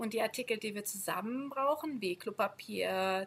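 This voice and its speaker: A woman talks at a fairly slow pace in a normal speaking voice. Her pitch is fairly high, with ordinary pitch variation. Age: 30s. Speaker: schoolteacher on sabbatical. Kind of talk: casual interview.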